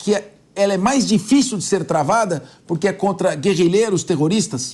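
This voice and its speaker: At a moderate pace, a man talks in a high pitch with lively intonation. His loudness stays very even against a quiet background. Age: 60s. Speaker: TV news host. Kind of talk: news interview.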